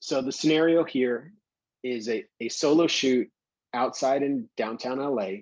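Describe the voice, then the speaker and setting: A man at medium pitch with a New York accent, speaking at a very slow pace, in a dry, close sound with no echo. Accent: New York, still present. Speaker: professional photographer. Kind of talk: lecture.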